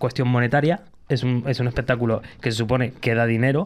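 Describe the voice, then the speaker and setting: A man races through his words at a very fast pace, his intonation fairly even. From Canary Islands. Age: 30s. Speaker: podcast host. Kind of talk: casual chat.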